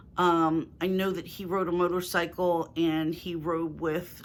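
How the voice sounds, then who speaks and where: With a Philadelphia accent, a woman speaks at a fairly low pitch and a fairly slow pace, with hardly any pauses. Her intonation is monotone and flat. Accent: Philadelphia accent, moderate. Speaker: lifestyle YouTuber. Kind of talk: casual Q&A vlog.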